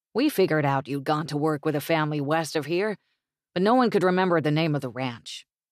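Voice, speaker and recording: Putting on a gruff character voice at a fairly high pitch, a man rattles along at a very fast pace on a very clean recording with a silent background. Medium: read story. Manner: gruff, curt.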